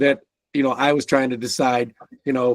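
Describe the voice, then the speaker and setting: An unremarkable speaking voice belongs to a man with an American accent who talks at a fairly quick pace in a medium pitch, the sound dry and close with no echo. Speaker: podcast host. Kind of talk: casual interview.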